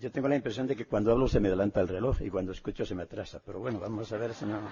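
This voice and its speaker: A man's fairly low, somewhat breathy voice at a very fast pace, with ordinary pitch variation. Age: 70s. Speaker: speaker on theology and mysticism. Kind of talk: lecture. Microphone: echo in the room.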